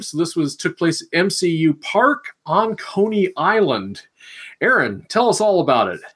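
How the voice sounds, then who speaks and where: Someone with a Midwestern accent speaks at a moderate pace. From Missouri. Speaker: rugby podcast co-host. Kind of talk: casual chat.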